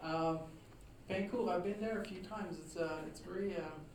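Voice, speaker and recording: Moderate-paced speech with noticeable background noise. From Quebec, Trois-Rivières. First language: French. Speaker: author and historian. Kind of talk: lecture. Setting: talk to a live audience. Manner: hesitant, many fillers.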